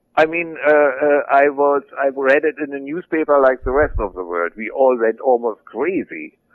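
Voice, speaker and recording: His voice sits fairly high for a man, with ordinary pitch variation. He keeps a moderate pace with hardly any pauses. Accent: German. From West Germany (Berlin). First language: German. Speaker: former militant turned author. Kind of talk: interview.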